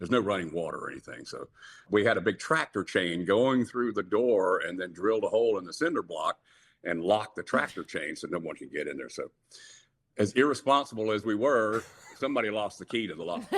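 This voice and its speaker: Speaking at a fairly quick pace with a Southern US accent, a man with a fairly low pitch uses lively intonation on a very clean recording with a silent background. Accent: Southern American. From Jacksonville, Florida. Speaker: rock singer. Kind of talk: interview answer. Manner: warm storytelling.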